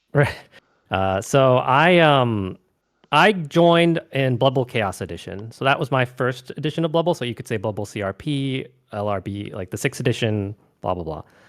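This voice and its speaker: An ordinary speaking voice: a man at medium pitch with an American accent, moderate pace, and lively intonation, on a very clean recording with a silent background. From US West Coast. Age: young. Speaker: gamer and streamer. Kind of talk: casual chat.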